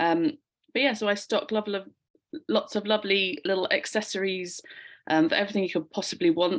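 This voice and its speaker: A woman with a London accent talks at a fairly quick pace in a medium pitch, with ordinary pitch variation. She leaves long, frequent pauses against a quiet background. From London, England. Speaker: online shop owner. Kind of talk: casual chat.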